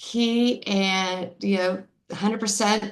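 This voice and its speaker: The speaker is a woman with a fairly high pitch. Her intonation is fairly even. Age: 60s. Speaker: customer giving testimonial. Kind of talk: testimony. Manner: halting.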